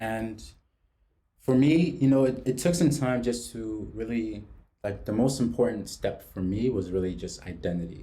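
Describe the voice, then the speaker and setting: A man's medium-pitched, somewhat breathy voice with a dark, mellow tone and a New York accent, ordinary pitch variation and audible room echo. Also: moderate pace. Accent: New York American. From New York City (from age seven, born in Mozambique). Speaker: podcast host. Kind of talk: casual chat. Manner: halting, repeats words.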